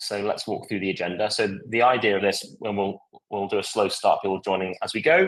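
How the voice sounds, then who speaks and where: A man with a British accent at a very fast pace. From UK. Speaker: software product demonstrator. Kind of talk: live product demo webinar. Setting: live online event. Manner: halting, many fillers.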